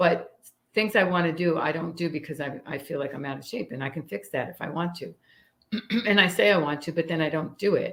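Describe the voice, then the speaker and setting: With an American accent and an unremarkable speaking voice, the speaker moves at a fairly quick pace, showing ordinary pitch variation and big swings in loudness. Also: woman, fairly low pitch for a woman. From New York (Staten Island, upstate). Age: 60s. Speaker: firearms instructor. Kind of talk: casual interview chat.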